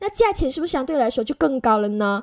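An animated woman's voice with lively intonation. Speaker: podcast host. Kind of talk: casual interview.

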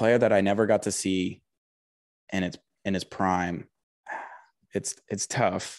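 A man's fairly low voice at a fairly slow pace, with long, frequent pauses, fairly even intonation and a quiet background. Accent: American. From US South, Huntsville, Alabama. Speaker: sports media contributor. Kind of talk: casual chat.

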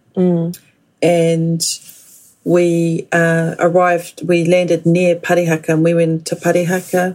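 Using a New Zealand accent, a woman with a fairly low pitch speaks at a fairly slow pace, her loudness very even and her intonation monotone and flat. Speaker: guest, daughter of language activists. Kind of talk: interview.

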